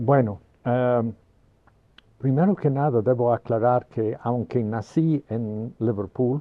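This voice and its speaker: A man in an English accent, medium in pitch, with ordinary pitch variation and a very slow pace. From Merseyside, England (Birkenhead). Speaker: mathematics professor. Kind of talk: interview. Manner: halting.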